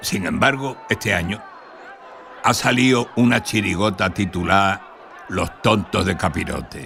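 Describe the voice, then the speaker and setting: Over noticeable background noise, a man speaks at a fairly slow pace with long, frequent pauses, a fairly low pitch and ordinary pitch variation. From Spain, Cádiz (Andalusia). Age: 80s+. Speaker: documentary narrator. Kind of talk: scripted narration.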